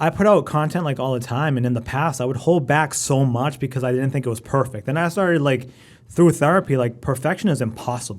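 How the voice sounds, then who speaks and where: Talking at a very fast pace, a man sounds animated, with ordinary pitch variation. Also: medium pitch for a man. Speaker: radio producer and on-air personality. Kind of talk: casual chat.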